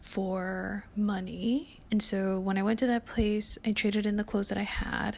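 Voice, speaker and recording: A woman whispers at a fairly slow pace. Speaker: lifestyle vlogger. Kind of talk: casual chat. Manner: whispering.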